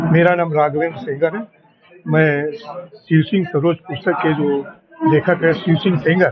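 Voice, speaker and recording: Amid noticeable background noise, a fairly high-pitched man speaks with fairly even intonation and long, frequent pauses. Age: 70s. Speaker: author. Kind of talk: interview.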